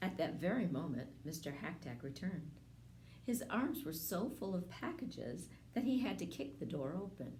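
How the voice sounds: A woman speaks at a fairly low pitch with big pitch swings and a slightly mellow tone. Audible room echo surrounds her voice. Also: moderate pace.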